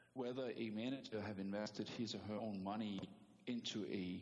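A man speaks with a Danish accent at a moderate pace. His pitch is fairly low and his intonation fairly even. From Denmark. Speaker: private equity investor. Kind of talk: interview.

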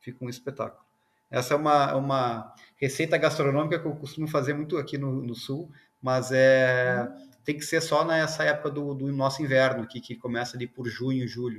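A man with a normal speaking voice, fairly high in pitch, with fairly even intonation, a moderate pace and big swings in loudness. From Rio Grande do Sul, southern Brazil. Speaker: semiconductor engineer. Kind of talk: interview; casual chat.

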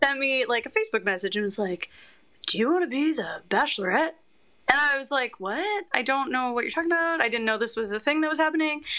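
In a Canadian accent, a raised, projected voice with a bright, sharp tone races at a very fast pace through very wide pitch swings. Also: woman, high pitch for a woman. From Canada. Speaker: reality TV personality. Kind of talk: casual chat.

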